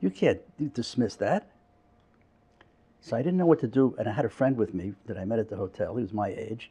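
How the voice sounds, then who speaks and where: A man talks at a fairly quick pace. His tone is dark and mellow and somewhat breathy. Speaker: psychotherapist and author recounting memories. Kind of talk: oral history interview.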